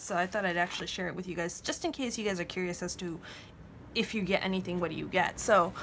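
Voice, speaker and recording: Noticeable background noise fills the clip. A woman speaks very fast. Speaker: journaling vlogger. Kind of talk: casual vlog talk. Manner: stutters, hesitant with many fillers.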